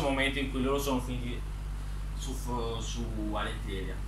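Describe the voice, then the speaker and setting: A man's fairly quick speech comes through with noticeable noise behind it. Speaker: author presenting his book characters. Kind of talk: casual talk to camera, storytelling about his book characters. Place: home room. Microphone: phone near.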